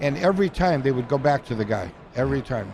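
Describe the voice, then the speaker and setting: Over noticeable background noise, a man with an American accent talks at a fairly quick pace with lively intonation. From US Midwest, Crystal Lake near Chicago. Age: 80s+. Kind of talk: interview.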